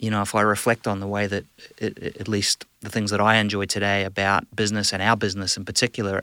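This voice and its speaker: A man speaks with a New Zealand accent in a fairly low pitch. His tone is bright and sharp. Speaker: business executive. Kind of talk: casual interview. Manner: hesitant, filler-heavy.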